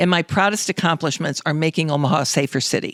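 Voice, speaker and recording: In a dry, close sound with no echo, a woman talks at a very fast pace, her pitch fairly low with ordinary variation. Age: 70s. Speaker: former city mayor. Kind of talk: interview.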